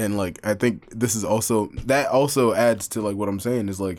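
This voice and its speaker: A man with a plain, everyday voice at a medium pitch and a fairly quick pace. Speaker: podcast co-host. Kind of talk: casual banter chat. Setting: studio. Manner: casual, jokey, profane.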